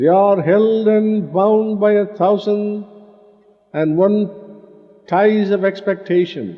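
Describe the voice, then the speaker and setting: With an Indian accent, the speaker talks at a very slow pace, leaving long, frequent pauses. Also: man, high pitch for a man, fairly even intonation, very even loudness. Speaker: spiritual teacher. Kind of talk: spiritual discourse.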